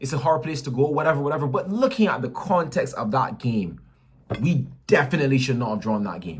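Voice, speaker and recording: A man's fairly high, animated voice with vocal fry and lively intonation, fairly quick in pace, with audible room echo. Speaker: football fan vlogger. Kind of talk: match reaction rant. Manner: fast.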